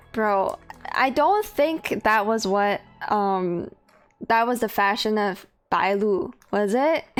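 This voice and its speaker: Here a woman speaks in an animated tone. Her pitch shows ordinary variation. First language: Chinese. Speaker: video game streamer. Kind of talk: casual chat.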